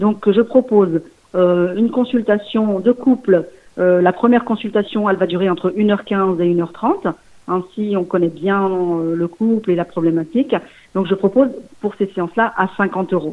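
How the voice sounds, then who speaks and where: A woman with an ordinary speaking voice, medium in pitch with ordinary pitch variation, at a fairly slow pace. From Lyon region, France (Portuguese parents). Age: 40s. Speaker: sex therapist and nurse. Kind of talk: interview. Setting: phone call.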